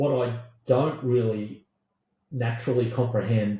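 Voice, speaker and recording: A man talks at a very slow pace with an Australian accent, his pitch medium and his intonation fairly even. His tone is dark and mellow, and somewhat breathy. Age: 50s. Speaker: podcast co-host with science background. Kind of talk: casual chat.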